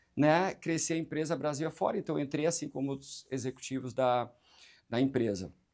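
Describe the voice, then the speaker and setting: At a moderate pace, a man speaks with a fairly high pitch and ordinary pitch variation on a very clean recording with a silent background. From Brazil, Recife (Pernambuco). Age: 40s. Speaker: hotel chain marketing director. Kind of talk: interview on business talk show.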